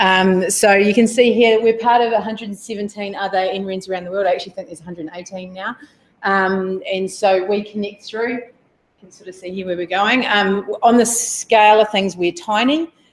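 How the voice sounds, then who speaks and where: Loud, fairly quick delivery with fairly even intonation. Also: woman, medium pitch for a woman. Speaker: technology executive at a research network. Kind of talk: conference talk.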